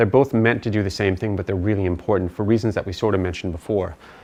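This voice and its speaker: Speaking in an American accent, a man lets his pitch vary in an ordinary way. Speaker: physician teaching ventilation. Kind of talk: lecture. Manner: fast.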